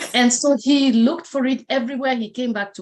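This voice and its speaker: A woman with a Kenyan accent speaks at a fairly quick pace with high pitch and ordinary pitch variation. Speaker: motivational speaker. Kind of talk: interview.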